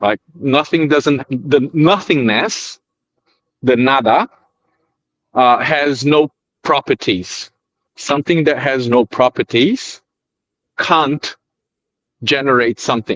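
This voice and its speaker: Speaking very slowly with long, frequent pauses, a man with a non-native accent uses a fairly high pitch and ordinary pitch variation. His loudness stays very even, and the sound is dry and close with no echo. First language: not English. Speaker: debate panelist. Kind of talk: casual debate. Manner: halting.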